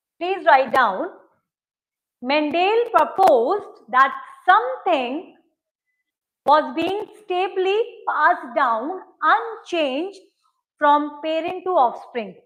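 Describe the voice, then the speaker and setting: Speech comes at a very slow pace with long, frequent pauses and lively intonation, and room echo is audible. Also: woman, extremely high pitch for a woman. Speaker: anthropology teacher. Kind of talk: lecture. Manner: code-switching Hindi and English.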